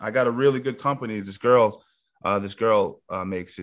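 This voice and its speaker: Against a quiet background, a man with a New York accent talks at a fairly quick pace and ordinary pitch variation. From Yonkers, New York. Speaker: MMA coach. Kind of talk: casual chat.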